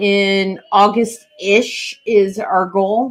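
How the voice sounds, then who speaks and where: A woman speaks loudly at a medium pitch. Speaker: pirate history podcast host. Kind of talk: casual live-stream chat. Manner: animated.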